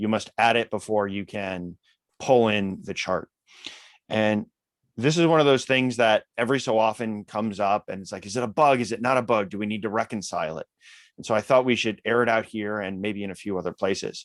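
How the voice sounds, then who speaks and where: In a very clean recording with a silent background and a dry, close sound with no echo, a man with a fairly low pitch talks at a fairly quick pace, with ordinary pitch variation and big swings in loudness. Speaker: open-source software maintainer. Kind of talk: technical meeting discussion.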